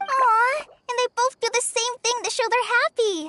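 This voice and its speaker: Squeaky put-on character voice pitched extremely high, delivered at a moderate pace. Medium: video game. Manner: eager, lively.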